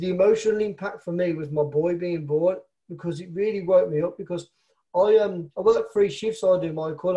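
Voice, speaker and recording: In a Birmingham accent, a man with a high pitch and a dark, mellow tone talks at a fairly quick pace with fairly even intonation. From Birmingham, England. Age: 30s. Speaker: network marketer. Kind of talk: interview conversation.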